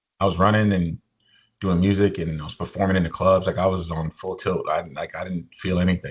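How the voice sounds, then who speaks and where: A man with an American accent, very deep low pitch, fairly quick pace, and a quiet background. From New Jersey, US. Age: 40s. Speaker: motivational speaker and musician, kidney patient. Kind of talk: casual interview, personal story. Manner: animated.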